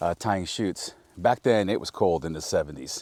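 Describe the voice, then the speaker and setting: A man speaks at a fairly quick pace in a very deep, low voice. The sound is dry and close with no echo. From Napa Valley, California. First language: Spanish. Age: 50s. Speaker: vineyard owner. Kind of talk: casual storytelling interview. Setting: outdoors in a vineyard.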